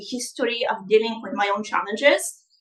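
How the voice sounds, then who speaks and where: A woman speaks with a Bulgarian accent. Her tone is bright and sharp. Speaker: life coach. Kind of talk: live online masterclass. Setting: livestream. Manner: animated.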